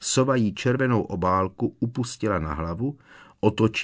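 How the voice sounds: A natural reading voice is heard throughout.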